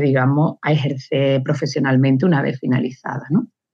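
A woman's very deep, low voice at a moderate pace. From Andalusia, Córdoba. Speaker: engineer and teacher. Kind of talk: interview.

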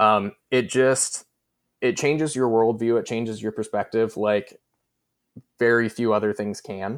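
A man speaks at a medium pitch and a fairly slow pace, with fairly even intonation and long, frequent pauses, in a very clean recording with a silent background. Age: 20s. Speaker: marketer and content creator. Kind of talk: casual interview.

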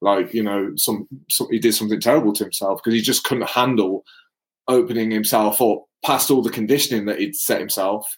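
Using a normal speaking voice, a man talks at a fairly quick pace and a medium pitch, with ordinary pitch variation. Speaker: podcast host. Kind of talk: casual chat. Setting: live stream. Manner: casual, laughing.

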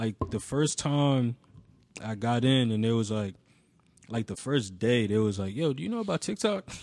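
Against a quiet background, a man with medium pitch and lively intonation talks at a moderate pace in an unremarkable speaking voice. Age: 20s. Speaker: music industry intern and brand co-founder. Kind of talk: casual chat. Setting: studio.

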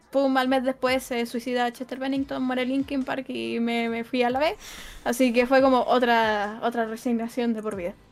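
Fairly even intonation in a Chilean accent. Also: woman, high pitch for a woman, moderate pace. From Chile, Santiago. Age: 20s. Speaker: esports caster. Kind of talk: casual interview chat.

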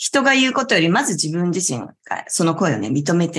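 A woman's fairly low voice with vocal fry, very fast pace and very wide pitch swings. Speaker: yoga instructor and talk show host. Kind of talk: relaxed talk show livestream. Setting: live online class stream. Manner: calm, gentle.

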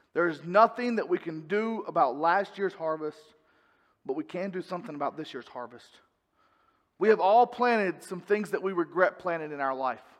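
With a North Carolina accent, this man speaks at a moderate pace in a high pitch, his intonation lively and his loudness swinging widely. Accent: Southern US (North Carolina). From North Carolina, US South. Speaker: pastor. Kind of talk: sermon. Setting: church.

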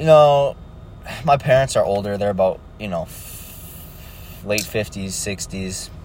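Speaking at a very slow pace, a man with a fairly low pitch uses lively intonation and big swings in loudness. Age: young. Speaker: solo podcaster, beginner day trader. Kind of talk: casual monologue. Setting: in a car. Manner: halting, many fillers. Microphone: poor audio quality.

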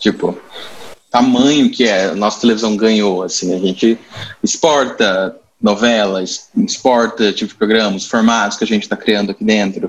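In a plain, everyday voice, a man talks at a moderate pace with a fairly low pitch and fairly even intonation. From Brazil, Campo Grande (Mato Grosso do Sul). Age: 20s. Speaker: guest discussing television. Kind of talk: casual chat.

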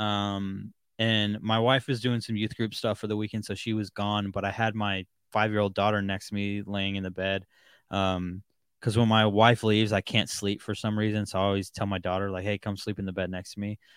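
Recorded dry and close with no echo on a very clean track with a silent background, a man talks at a fairly quick pace and fairly low pitch in monotone, flat intonation. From Seattle area, Washington. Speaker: podcast host. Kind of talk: casual interview. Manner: hesitant, many fillers.

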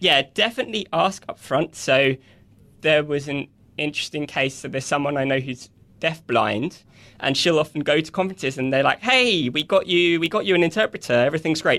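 A man with a bright, sharp tone and fairly high pitch talks at a fairly quick pace against a quiet background. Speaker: software developer. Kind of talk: casual interview. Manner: enthusiastic, upbeat.

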